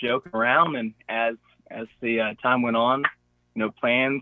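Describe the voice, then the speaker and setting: A man of medium pitch at a moderate pace, with a Gulf Coast Southern US accent. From Florida (Pensacola). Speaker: hunter. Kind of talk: casual chat.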